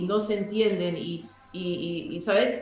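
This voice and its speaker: A woman with fairly even intonation, audible room echo and music in the background. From Paraguay. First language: English and German (speaking Spanish). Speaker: guest. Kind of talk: casual interview.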